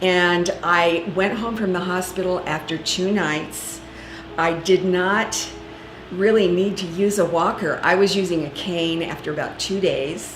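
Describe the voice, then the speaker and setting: A woman at a medium pitch and fairly slow pace, with audible room echo and music in the background. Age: 60s. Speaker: patient. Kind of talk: testimony.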